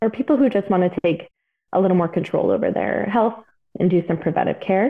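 This woman has a medium pitch and ordinary pitch variation. It is an ordinary speaking voice. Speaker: registered dietitian. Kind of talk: interview conversation.

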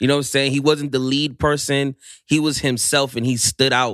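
A man with an American accent speaks at a fairly quick pace and medium pitch in an unremarkable speaking voice. The recording is very clean, with a silent background and a dry, close sound with no echo. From Maryland, DC area. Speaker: political activist guest. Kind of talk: casual interview.

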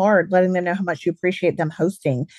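Speaking with a Southern US accent, a woman uses a medium pitch and ordinary pitch variation in a dry, close sound with no echo. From Alabama, US South. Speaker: charcuterie business owner. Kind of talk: casual interview chat.

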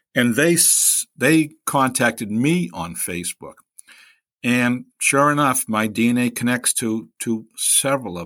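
A man with a Boston accent speaks fairly slowly at a medium pitch, his bright, sharp tone carrying lively intonation. The recording is very clean with a silent background. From Boston, Hyde Park. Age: 60s. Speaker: guest sharing personal story. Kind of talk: personal testimony in interview.

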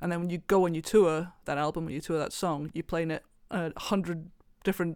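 The recording of this woman is very clean, with a silent background. She has a Welsh accent, a fairly low pitch and fairly even intonation. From Wales. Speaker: fingerstyle guitarist. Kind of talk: roundtable discussion. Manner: halting, many fillers.

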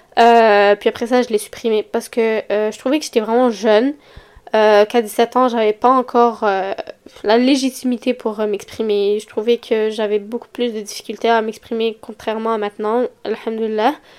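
A woman with a Quebec accent, fairly high pitch, flat monotone intonation and a fairly slow pace. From Quebec, Montreal. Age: young. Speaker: podcast host. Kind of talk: casual solo podcast talk. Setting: home recording at computer mic. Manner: hesitant, many fillers.

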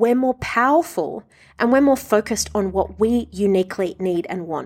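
With an Australian accent, a woman talks at a moderate pace and a medium pitch. Her intonation is lively. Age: 30s. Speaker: body image coach and podcast host. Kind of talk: solo podcast monologue.

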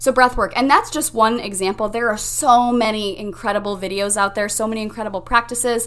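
A woman speaks in a plain, everyday voice. She hardly pauses at all. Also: fairly high pitch for a woman. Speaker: mindset coach and podcast host. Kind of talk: pep talk. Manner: warm, encouraging, upbeat; guiding, instructive, calm pacing.

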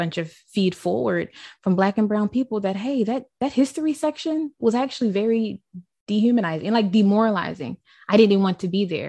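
A woman with an American accent and a plain, everyday voice, medium in pitch, at a fairly quick pace with lively intonation, dry and close with no echo against a quiet background. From Baltimore, Maryland, US. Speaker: diversity and inclusion educator. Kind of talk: interview conversation.

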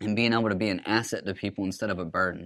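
A man talks at a very fast pace with a fairly low pitch. His intonation is fairly even. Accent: Alabama. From US South, Alabama (Huntsville). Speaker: recovering addict sharing his story. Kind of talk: personal testimony.

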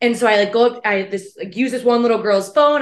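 A woman speaks at a fairly quick pace with ordinary pitch variation, and the background is quiet. Hers is a plain, everyday voice. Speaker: podcast co-host. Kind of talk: casual chat.

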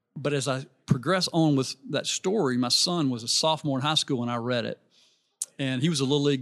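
In a Southern US accent, a man speaks at a fairly high pitch over a quiet background. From Alabama, US South (Birmingham). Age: 60s. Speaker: businessman and youth coaching ministry leader. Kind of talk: casual interview chat. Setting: live at a conference booth.

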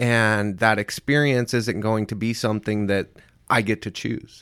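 On a very clean recording with a silent background, a man with an American accent speaks at a medium pitch and moderate pace. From US Midwest, small-town Indiana. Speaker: person in addiction recovery. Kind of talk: casual interview.

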